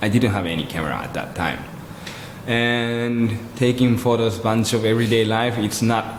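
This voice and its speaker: A man talks at a medium pitch with fairly even intonation. There is noticeable background noise and audible room echo. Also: moderate pace. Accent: Japanese. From Japan (Kobe, Yokohama). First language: Japanese. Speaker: photographer. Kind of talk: interview conversation.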